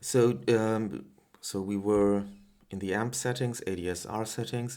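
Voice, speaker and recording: Fairly low in pitch and fairly even in intonation, a man speaks with a German accent. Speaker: music producer, synth tutorial maker. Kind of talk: casual tutorial talk. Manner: hesitant, many filler sounds.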